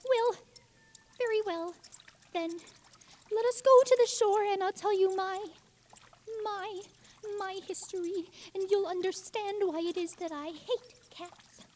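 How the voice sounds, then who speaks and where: A put-on character voice at an extremely high pitch, delivered at a fairly slow pace with long, frequent pauses. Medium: audio drama. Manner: indignant, prim.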